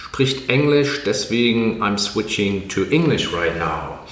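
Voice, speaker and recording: Lively intonation from a man at medium pitch, a very slow pace, and noticeable background noise. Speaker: podcast host. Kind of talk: interview.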